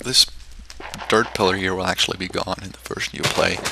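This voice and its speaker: A man's voice over noticeable background noise. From Switzerland. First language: German. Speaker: game content creator. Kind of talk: gameplay commentary. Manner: hesitant, many fillers.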